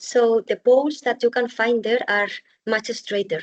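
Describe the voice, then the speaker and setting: A woman's normal speaking voice at a moderate pace, with fairly even intonation and a dry, close sound with no echo. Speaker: bamboo architect and builder. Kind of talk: webinar presentation.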